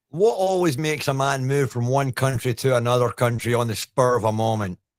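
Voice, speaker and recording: In a Scottish accent, a man of medium pitch talks at a fairly quick pace with ordinary pitch variation. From Scotland. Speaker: paranormal investigator. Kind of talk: podcast interview.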